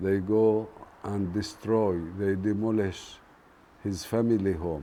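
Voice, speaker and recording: A man's fairly low, dark and mellow voice in a Palestinian accent, very slow pace and fairly even intonation, with audible room echo. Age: 60s. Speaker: farmer. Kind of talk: documentary interview.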